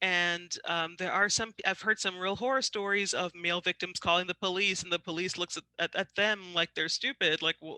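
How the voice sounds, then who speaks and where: A woman with a bright, sharp tone and medium pitch talks at a moderate pace with hardly any pauses and fairly even intonation, in a dry, close sound with no echo. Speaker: trainer on dating violence. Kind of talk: educational webinar presentation. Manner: halting, many fillers.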